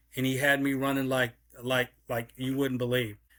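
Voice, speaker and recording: The recording is very clean with a silent background. A man speaks at a medium pitch and a fairly slow pace, his tone bright and sharp. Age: 60s. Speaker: league executive. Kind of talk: interview. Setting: podcast. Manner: halting, repetitive.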